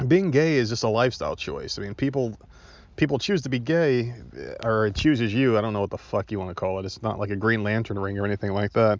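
Talking at a very fast pace, a man with an American accent has a medium pitch and ordinary pitch variation. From New Jersey. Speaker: podcast host. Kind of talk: casual solo podcast monologue. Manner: animated.

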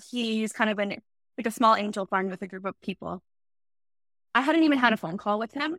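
A woman with a Canadian accent talks at a fairly quick pace in a fairly high voice, with ordinary pitch variation and long, frequent pauses. The recording is very clean, with a silent background and a dry, close sound with no echo. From Ontario, Canada. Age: 30s. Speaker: startup founder. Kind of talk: interview.

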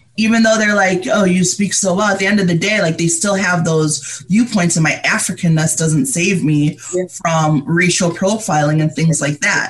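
With a General American accent, a woman at fairly low pitch speaks at a moderate pace with hardly any pauses, ordinary pitch variation and very even loudness, over noticeable background noise. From Liberia, raised in upstate New York. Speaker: mental health advocate. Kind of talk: interview conversation.

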